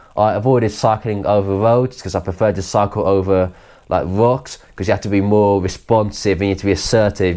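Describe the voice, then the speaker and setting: A man with a southern English accent has a dark, mellow tone and fairly low pitch. His pace is fairly quick and his intonation monotone and flat. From Kent, south-east England. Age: 20s. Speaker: adventurer recounting a trip. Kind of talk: interview monologue. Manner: halting, with restarts.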